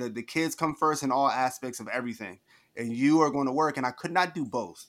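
Fairly quick and fairly high-pitched, a man with an American accent speaks with ordinary pitch variation in an unremarkable speaking voice, on a very clean recording with a silent background. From New Jersey. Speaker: author and entrepreneur, former teacher. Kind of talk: interview.

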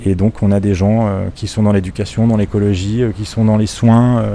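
A man's fairly low voice holds fairly even intonation as he talks at a moderate pace. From Switzerland, Lausanne area. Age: 30s. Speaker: bookshop customer on holiday. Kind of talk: casual interview. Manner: halting, with repetitions and fillers.

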